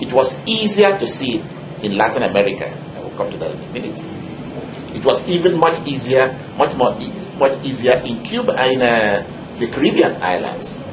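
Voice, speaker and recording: Amid noticeable background noise, a man with a Nigerian accent speaks at medium pitch, with long, frequent pauses, big swings in loudness and very wide pitch swings. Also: moderate pace. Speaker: historian, professor. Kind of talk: interview answer.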